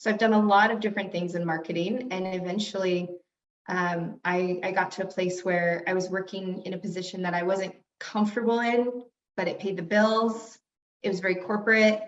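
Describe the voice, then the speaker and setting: A woman's medium-pitched voice at a fairly quick pace, with fairly even intonation and audible room echo. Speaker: brand strategist. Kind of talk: interview. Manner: loud.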